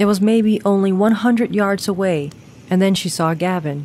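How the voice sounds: A natural reading voice, with pitch varying in an ordinary way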